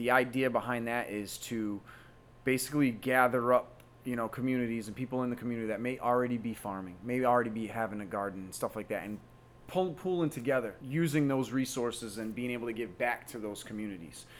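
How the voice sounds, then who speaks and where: In a normal speaking voice, a man with an American accent talks at a fairly quick pace, medium pitch and ordinary pitch variation. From Massachusetts south coast. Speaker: wellness business owner, army veteran. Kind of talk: interview. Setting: at his business premises.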